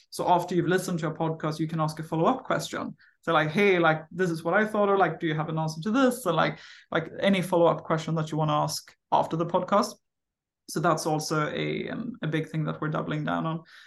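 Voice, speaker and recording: A woman talks at a very fast pace in a fairly low pitch, with vocal fry, ordinary pitch variation, and a quiet background. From Sweden. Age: 30s. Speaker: startup founder and CEO. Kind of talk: casual interview conversation.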